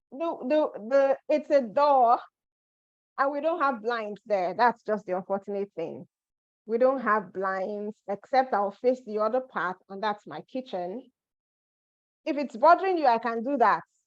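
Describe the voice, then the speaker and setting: Long, frequent pauses break up a woman's speech. She talks at a fairly slow pace with lively intonation. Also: fairly high pitch for a woman. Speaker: immigration advice presenter. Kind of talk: live webinar. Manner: loud.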